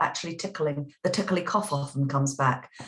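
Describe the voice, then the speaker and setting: A woman talks at a fairly quick pace with lively intonation. It is an unremarkable speaking voice. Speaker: voice teacher. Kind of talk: interview answer.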